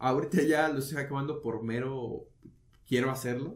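A man speaks with a fairly high pitch and a somewhat breathy quality. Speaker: podcast co-host. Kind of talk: casual chat.

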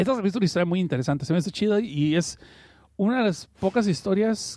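Talking at a very fast pace, a man with a high pitch uses lively intonation. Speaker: podcast host. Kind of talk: casual chat. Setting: online radio stream.

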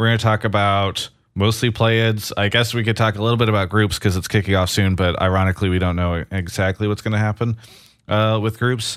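A man with an ordinary speaking voice, fairly low in pitch, at a fairly quick pace with ordinary pitch variation. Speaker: esports podcast host. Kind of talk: casual chat. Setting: home studio, remote.

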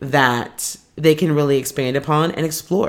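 In a very clean recording with a silent background, a woman talks at a fairly slow pace in an animated tone with ordinary pitch variation. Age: 20s. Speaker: podcaster and content creator. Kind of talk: casual solo monologue. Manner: casual, chatty, animated.

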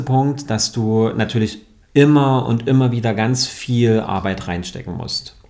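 With fairly even intonation, this man uses a normal speaking voice pitched in the middle range. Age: 30s. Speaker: yoga and mindfulness teacher. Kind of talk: podcast interview.

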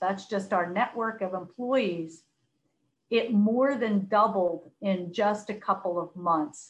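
A woman with an American accent, medium in pitch, at a very slow pace. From US, Philadelphia. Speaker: corporate sustainability executive. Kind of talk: podcast interview.

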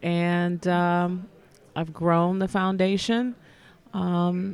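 A woman with an unremarkable speaking voice talks in an American accent at a fairly low pitch with fairly even intonation. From US Midwest, Detroit. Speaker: nonprofit foundation executive. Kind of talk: interview.

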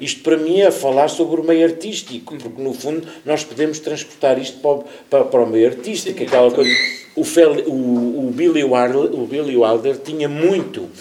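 Moderate pace from a man with a fairly high pitch, ordinary pitch variation, audible room echo and noticeable background noise. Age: 50s. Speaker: actor. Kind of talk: casual chat. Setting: stage with audience.

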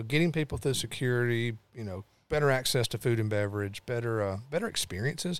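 A man's medium-pitched voice in a Tennessee accent at a very fast pace, with ordinary pitch variation, in a very clean recording with a silent background. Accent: Southern US (Tennessee). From Tennessee, Lawrenceburg. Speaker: motorsport event executive. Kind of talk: casual interview.

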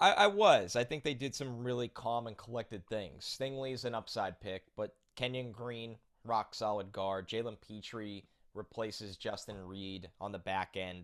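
A man with a New Jersey accent, medium pitch, ordinary pitch variation and a moderate pace. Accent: New Jersey American. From New Jersey, US. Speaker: football draft analyst. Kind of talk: casual interview.

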